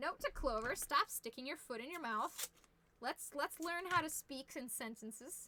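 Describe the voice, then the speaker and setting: A woman projects a raised, high-pitched voice with lively intonation. She speaks fairly slowly, with long, frequent pauses. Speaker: fursuit maker streaming crafting. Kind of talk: live-stream crafting tutorial. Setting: live stream home workshop. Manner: loud; casual, chatty.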